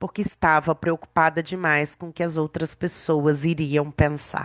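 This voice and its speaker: A very slow delivery in a dry, close sound with no echo over a quiet background. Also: woman. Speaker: women's mentor and podcast host. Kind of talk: reading aloud; casual podcast chat. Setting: podcast recording.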